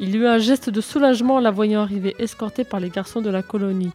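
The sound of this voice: This recording carries an unforced reading voice.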